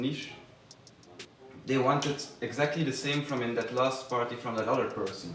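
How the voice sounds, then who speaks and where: A man with a Belgian accent talks at a fairly quick pace, medium in pitch, with fairly even intonation. There is noticeable background noise and audible room echo. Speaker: manager of a music label, former chef. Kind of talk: interview. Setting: by the sea, in open ruins. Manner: halting, self-correcting.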